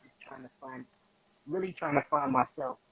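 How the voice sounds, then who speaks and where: A man talks at a fairly quick pace with fairly even intonation, the sound dry and close with no echo and noticeable background noise. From New York, the Bronx. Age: 20s. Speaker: rapper. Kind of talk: interview. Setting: live-streamed video call.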